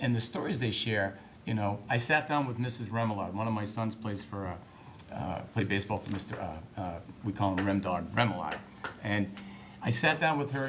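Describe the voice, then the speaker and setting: A man with an American accent at a medium pitch and moderate pace, amid noticeable background noise and audible room echo. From Massachusetts. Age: 50s. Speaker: political candidate. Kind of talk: political debate. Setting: town hall debate.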